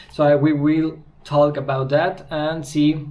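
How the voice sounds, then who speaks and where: Recorded with audible room echo, a man with a strong Spanish accent speaks at a fairly high pitch. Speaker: car customizer and video creator. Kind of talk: casual vlog. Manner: halting.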